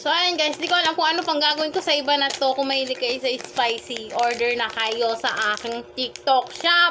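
The raised, projected voice keeps a moderate pace with hardly any pauses and ordinary pitch variation, over noticeable background noise. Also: woman. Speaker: online seller, vlogger. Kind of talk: casual vlog chat, product review. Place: home room. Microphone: phone near.

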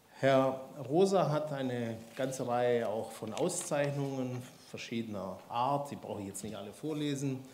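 Loudness swings widely as a man talks through audible room echo and light background noise. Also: ordinary pitch variation, moderate pace. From Swabia, Baden-Württemberg. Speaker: institute director and event host. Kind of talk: speaker introduction. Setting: lecture hall with audience. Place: hall. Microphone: handheld.

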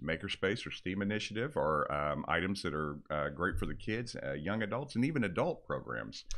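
Against a quiet background, a man with a fairly low pitch speaks at a fairly quick pace, his pitch swinging very widely. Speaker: product specialist co-host. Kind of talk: casual informative podcast chat. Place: studio. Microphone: studio mic.

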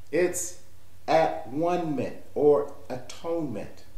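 There is audible room echo as a man speaks. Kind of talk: sermon. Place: home room. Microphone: webcam.

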